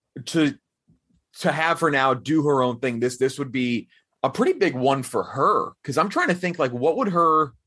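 A plain, everyday voice at a moderate pace against a quiet background. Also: man. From Texas. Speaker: film podcast host. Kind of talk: casual movie review chat.

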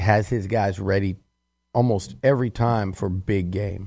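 A man with a dark, mellow tone speaks at a fairly low pitch against a quiet background. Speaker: sports editor and analyst. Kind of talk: sports talk analysis.

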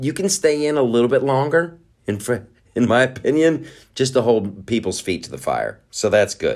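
On a very clean recording with a silent background, a man speaks at a moderate pace and medium pitch, animated in tone with lively intonation. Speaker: podcast host. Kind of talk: casual rant-style podcast monologue. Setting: home studio with noise outside. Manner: animated, profane, rambling with filler words.

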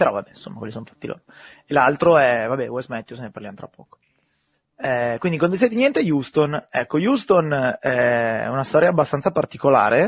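A man with an ordinary speaking voice and a fairly high pitch uses lively intonation, his loudness swinging widely. The sound is dry and close, with no echo. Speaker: podcast host. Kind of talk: casual chat about basketball.

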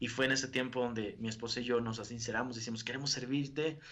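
A man with a northern Mexican accent talks at a medium pitch in a monotone, flat way. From northern Mexico, Río Bravo, Tamaulipas. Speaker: evangelical preacher. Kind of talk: interview testimony. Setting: video call.

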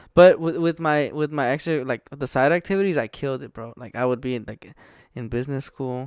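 An unremarkable speaking voice at a fairly quick pace, with ordinary pitch variation and big swings in loudness, recorded dry and close with no echo over a quiet background. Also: man, fairly high pitch for a man. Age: 20s. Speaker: stand-up comedian. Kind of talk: casual chat.

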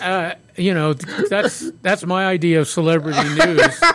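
A man's high-pitched voice, fairly bright in tone, with big pitch swings. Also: moderate pace.

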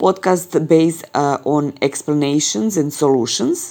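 With a dark, mellow tone, a woman speaks at a fairly slow pace with ordinary pitch variation. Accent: Serbian. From Serbia. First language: Serbian. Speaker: audio journalist and podcast producer. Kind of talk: recorded voice clip about podcasting.

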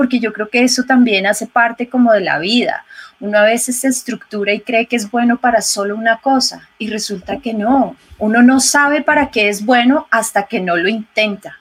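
Over noticeable background noise, a woman talks with a fairly high pitch, fairly even intonation and hardly any pauses. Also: moderate pace. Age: 40s. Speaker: ecologist and yoga and meditation instructor. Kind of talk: interview conversation.

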